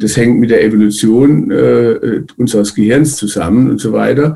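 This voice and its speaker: At a moderate pace, a man talks in a dark, mellow tone. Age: 70s. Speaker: psychiatrist and psychotherapist. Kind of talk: interview.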